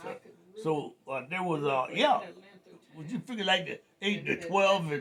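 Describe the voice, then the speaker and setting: Noticeable background noise sits behind a voice with lively intonation and big swings in loudness. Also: man. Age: 80s+. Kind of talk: storytelling interview answer.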